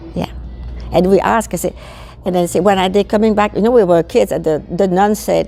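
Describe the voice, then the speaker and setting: With noticeable background noise behind, the speaker talks at a very fast pace in a French accent. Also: woman. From Belgium, French-speaking south. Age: 80s+. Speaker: veterans supporter, war childhood witness. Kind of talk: interview.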